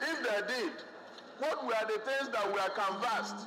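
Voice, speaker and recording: A man's raised, projected voice over light background noise. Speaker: legislator debating a motion. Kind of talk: parliamentary speech. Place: hall.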